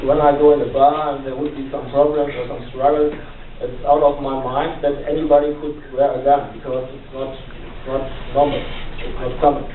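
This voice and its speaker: Amid noticeable background noise and audible room echo, a man talks at a moderate pace and a fairly high pitch, his intonation monotone and flat, his loudness swinging widely. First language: German. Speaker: family therapist and police worker, panel speaker. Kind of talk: panel forum remarks. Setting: university panel with audience. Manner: halting, many fillers.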